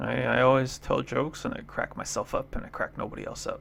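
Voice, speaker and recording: Fairly quick speech from a man comes through noticeable background noise. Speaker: go player and streamer. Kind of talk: game commentary. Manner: upspeak; casual, laughing at own jokes.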